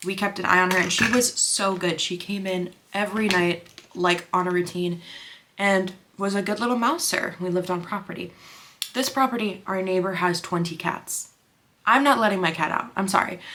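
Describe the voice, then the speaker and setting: Pitch varies in an ordinary way over noticeable background noise. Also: woman, medium pitch for a woman. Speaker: makeup artist and beauty vlogger. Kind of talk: casual chat while doing makeup. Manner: fast; animated.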